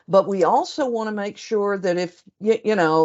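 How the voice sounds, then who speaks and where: The speaker has a Southern US accent and a fairly slow pace. Pitch varies in an ordinary way. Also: woman. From US South. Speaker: senior editor. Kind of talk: webinar presentation and Q&A.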